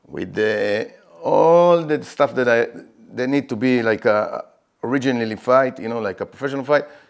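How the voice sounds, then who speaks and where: A man with an Israeli accent talks at a moderate pace, his medium pitch showing ordinary variation. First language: Hebrew. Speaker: MMA fighter. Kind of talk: interview. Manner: halting; animated.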